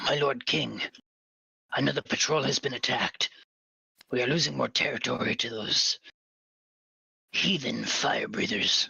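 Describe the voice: Whispering in a raspy, put-on character voice, a man speaks at a moderate pace with very even loudness.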